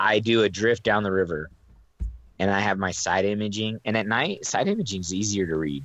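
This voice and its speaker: An unremarkable speaking voice comes from a man with an American accent and fairly low pitch. He moves at a fairly quick pace with ordinary pitch variation. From Reno, Nevada. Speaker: fishing podcast co-host. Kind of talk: casual chat.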